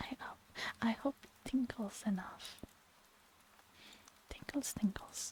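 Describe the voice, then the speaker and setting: Someone whispers at a very slow pace. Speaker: ASMR streamer. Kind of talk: ASMR live stream chat. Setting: live stream.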